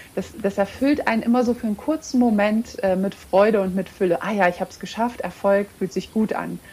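A woman at medium pitch, fairly quick, with hardly any pauses and ordinary pitch variation. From Romania, Hungarian border region; raised in Lower Bavaria from age 7. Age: 30s. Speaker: coaching client and entrepreneur. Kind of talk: interview. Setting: remote recording from home.

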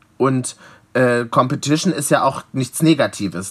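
This is a man with an unremarkable speaking voice. He sits at a medium pitch with ordinary pitch variation. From Leipzig, eastern Germany. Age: 20s. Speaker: drag performer and DJ. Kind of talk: casual interview.

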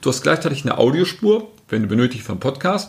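Somewhat breathy male speech, delivered fairly quickly. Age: 50s. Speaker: marketing agency director. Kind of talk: podcast interview.

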